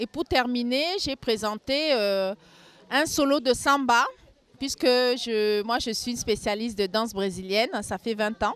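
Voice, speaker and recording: Her voice is fairly high in pitch. This woman talks at a fairly slow pace. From Cameroon, Yaoundé. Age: 40s. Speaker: carnival queen. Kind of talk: street interview.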